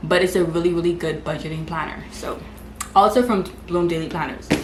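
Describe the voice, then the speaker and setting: A woman with a Bahamian accent talks at a fairly quick pace in a fairly low pitch, with audible room echo and noticeable background noise. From Bahamas. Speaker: lifestyle vlogger. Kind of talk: casual vlog talk to camera. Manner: fast.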